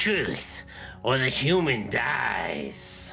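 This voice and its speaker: A man puts on a raspy character voice. Clear music plays in the background. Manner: yelling.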